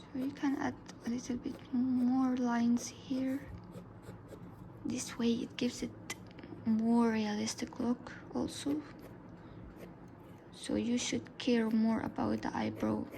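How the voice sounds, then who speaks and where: Over noticeable background noise, a woman with a high pitch talks in a monotone, flat way at a very slow pace with long, frequent pauses. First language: Arabic. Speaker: art tutorial youtuber. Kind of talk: tutorial. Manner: casual, halting.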